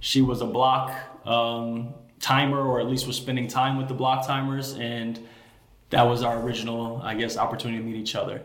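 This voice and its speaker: Amid noticeable background noise and audible room echo, a man with an American accent speaks quickly enough to be fairly fast, at a medium pitch and in a monotone, flat way. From Chicago, South Side. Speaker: realtor. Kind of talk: casual interview chat.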